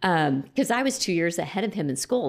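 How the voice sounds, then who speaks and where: In a Texan accent, a woman talks at a fairly quick pace with a fairly low pitch and vocal fry, on a very clean recording with a silent background. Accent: Texan American. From Lubbock, Texas. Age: 50s. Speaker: sobriety coach. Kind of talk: casual chat.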